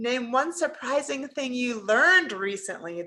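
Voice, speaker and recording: A woman's high, animated voice, raised and projected, at a fairly slow pace. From Pennsylvania, US. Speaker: leadership trainer. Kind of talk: webinar presentation.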